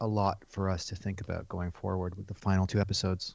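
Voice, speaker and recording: A man with a plain, everyday voice and fairly low pitch talks at a fairly quick pace against a quiet background. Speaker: podcast co-host. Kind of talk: casual banter podcast. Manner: dry, sarcastic.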